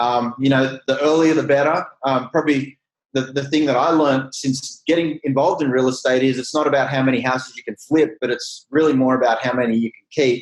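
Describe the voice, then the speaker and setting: Speaking fairly quickly with hardly any pauses, a man with an Australian accent keeps a medium pitch and a monotone, flat intonation. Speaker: real estate company CEO. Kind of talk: interview.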